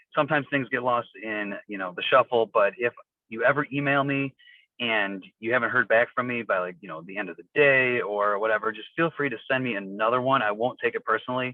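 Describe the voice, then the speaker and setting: A man at a medium pitch and a fairly quick pace, with ordinary pitch variation and big swings in loudness. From northern Illinois (small town west of Chicago). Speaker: teacher. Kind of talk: school open house introduction. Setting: phone call from a car. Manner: many fillers (um, uh). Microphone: on the phone.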